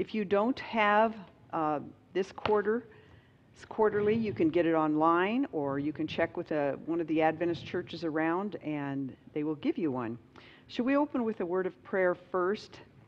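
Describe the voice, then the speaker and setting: A woman speaks in a normal speaking voice at a moderate pace. Her pitch is fairly low. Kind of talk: opening remarks and prayer. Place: hall. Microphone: headset.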